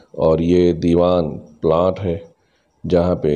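Speaking at a very slow pace, a man with a very deep, low pitch keeps his intonation flat and monotone. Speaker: travel vlogger. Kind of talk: casual vlog commentary. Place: car. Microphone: phone near.

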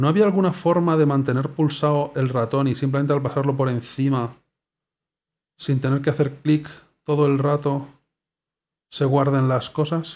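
This man's pitch is fairly high and his intonation fairly even. He keeps a moderate pace but pauses long and often. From Spain. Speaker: gaming YouTuber. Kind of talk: gameplay commentary. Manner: casual, hesitant.

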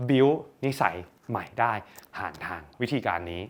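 With a bright, sharp, energetic tone, a man swings his pitch very widely, and vocal fry creeps in. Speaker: self-help content creator and businessman. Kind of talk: motivational talk.

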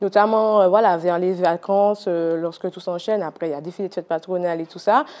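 At a fairly quick pace, the speech comes out in a dark, mellow tone. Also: woman. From Martinique. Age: 20s. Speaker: municipal councillor; council guest. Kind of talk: TV interview. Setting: TV studio. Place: studio. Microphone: lapel.

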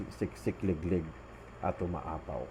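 A man is speaking. His pace is fairly slow. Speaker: religious storyteller. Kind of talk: testimony.

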